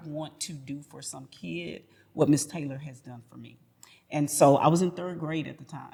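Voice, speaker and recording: A woman's plain, everyday voice with an American accent, fairly even intonation and a fairly quick pace. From Houston, Texas. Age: 50s. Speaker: educator and school founder. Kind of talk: interview conversation.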